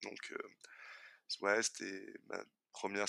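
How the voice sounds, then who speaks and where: With a bright, sharp tone, a man speaks in a dry, close sound with no echo. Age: 20s. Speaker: logistics worker and design student sharing his experience of hypersensitivity. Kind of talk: personal testimony. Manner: halting, many repetitions.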